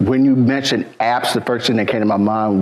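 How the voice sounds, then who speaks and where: A man's voice at medium pitch, with ordinary pitch variation and noticeable background noise. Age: 60s. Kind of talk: casual chat.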